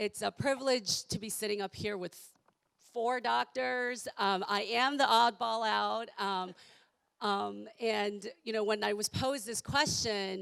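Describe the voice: At a fairly slow pace, a woman speaks at medium pitch with a croaky voice, vocal fry, a clear, smooth and fairly bright tone, and fairly even intonation.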